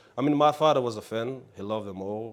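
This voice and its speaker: A man talks with a non-native accent. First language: not English. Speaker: actor. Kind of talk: interview. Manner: halting, many fillers.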